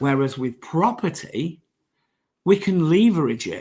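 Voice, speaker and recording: The speaker has an English accent and a somewhat breathy voice. Their intonation is lively. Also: man. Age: 60s. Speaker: property investor and mentor. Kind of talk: podcast interview. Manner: halting.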